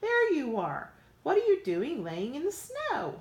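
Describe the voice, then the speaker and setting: Doing a put-on character voice, a woman speaks squeaky and extremely high at a fairly slow pace. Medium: read story.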